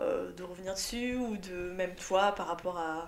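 A woman at medium pitch, fairly even in intonation, with audible room echo and noticeable background noise. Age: 20s. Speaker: podcast host. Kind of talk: interview.

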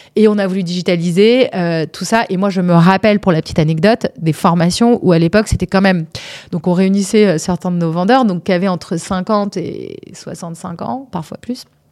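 In a very clean recording with a silent background, a woman with an unremarkable speaking voice talks at a moderate pace, medium in pitch with ordinary pitch variation. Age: 40s. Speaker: startup founder. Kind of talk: interview. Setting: studio.

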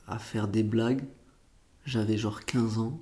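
A man's medium-pitched voice, dark and mellow in tone, with audible room echo. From Portugal, moved to France as a child. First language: Portuguese (speaking French). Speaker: comedian. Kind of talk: casual interview. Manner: casual slangy, many fillers.

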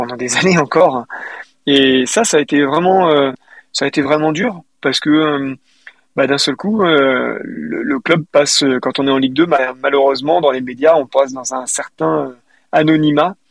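A man's fairly high voice at a moderate pace, with ordinary pitch variation and a dry, close sound with no echo. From western France, Deux-Sèvres. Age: 40s. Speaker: football supporter, small business manager. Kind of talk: casual interview. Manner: hesitant, many fillers.

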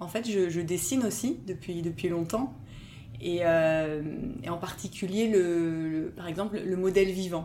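Speaking at a fairly slow pace, a woman with a fairly low pitch comes through with audible room echo. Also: ordinary pitch variation. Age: 30s. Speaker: cultural mediation consultant. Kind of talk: interview. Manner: halting, many repetitions and fillers.

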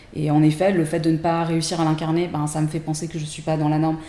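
Very deep and low, a woman's voice races at a very fast pace. Her intonation is monotone and flat. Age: 40s. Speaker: tarot deck creator. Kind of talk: casual chat. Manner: hesitant, many fillers.

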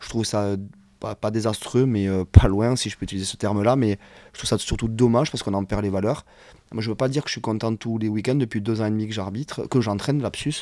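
A man talks at a very fast pace, his fairly low voice dark and mellow, with fairly even intonation. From southern France, Hérault (Occitanie). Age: 30s. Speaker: former rugby referee, now rugby coach. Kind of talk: casual interview.

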